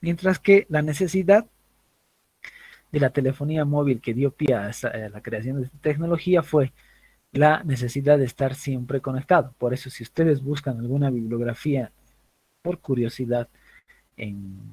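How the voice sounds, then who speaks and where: A man with a dark, mellow, somewhat breathy tone speaks at a fairly high pitch, with big swings in loudness. Long, frequent pauses break up his speech, and the sound is dry and close with no echo. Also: ordinary pitch variation, moderate pace. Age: 30s. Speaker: university lecturer. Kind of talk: lecture.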